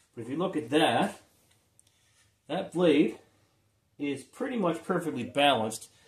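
The speech moves at a moderate pace with ordinary pitch variation. Audible room echo surrounds the voice. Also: man. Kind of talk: tutorial. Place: garage. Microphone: phone near.

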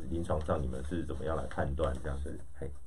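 A man with a Taiwanese accent speaks at a fairly quick pace. His pitch is very deep and low, with light background noise behind him. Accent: Taiwanese Mandarin. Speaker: radio host. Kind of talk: radio interview. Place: studio. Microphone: studio mic.

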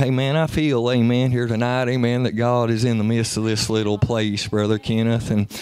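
Monotone, flat delivery at a moderate pace, very even in loudness, with hardly any pauses and a dry sound with no echo. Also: man. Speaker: preacher. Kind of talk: sermon. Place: church.

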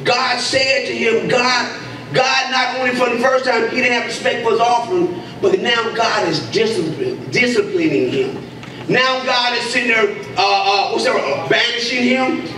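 Over noticeable background noise and audible room echo, a man uses a raised, projected voice at a fairly slow pace. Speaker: preacher. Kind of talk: sermon. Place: church. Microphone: handheld.

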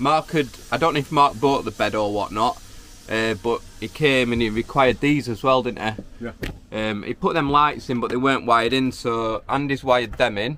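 Over light background noise, a man talks at a moderate pace with ordinary pitch variation and a dry sound with no echo. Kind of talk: casual vlog chat. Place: car. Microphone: phone near.

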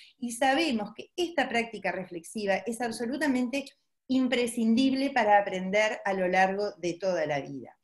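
A somewhat breathy woman at a moderate pace, lively intonation over a quiet background. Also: fairly high pitch for a woman. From Uruguay. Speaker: pediatrician. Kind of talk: webinar presentation; lecture. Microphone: webcam.

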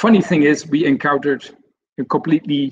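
A man speaks with a Dutch accent at a fairly high pitch. His intonation is lively. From Netherlands. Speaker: senior software consultant. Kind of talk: webinar presentation. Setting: online webinar. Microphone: video call.

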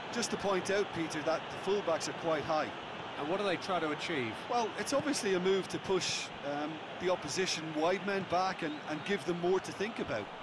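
High male speech at a fairly quick pace, noticeable background noise behind it. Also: ordinary pitch variation. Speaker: football co-commentator. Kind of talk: live football match co-commentary, analytical expert breakdown. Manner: analytical and measured, with small hesitations and repeated words.

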